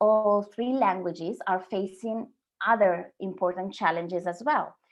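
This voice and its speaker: A woman with an Italian accent at a medium pitch. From Sardinia, Italy. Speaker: translator and copywriter. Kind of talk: webinar presentation. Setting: online webinar.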